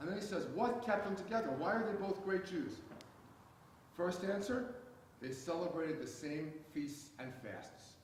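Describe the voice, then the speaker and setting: Speaking in an American accent with lively intonation, a man with a high pitch keeps a moderate pace broken by long, frequent pauses, while audible room echo and noticeable background noise surround him. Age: 60s. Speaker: seminary chancellor and scholar. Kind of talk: public lecture Q&A answer. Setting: synagogue hall with audience. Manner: halting with fillers.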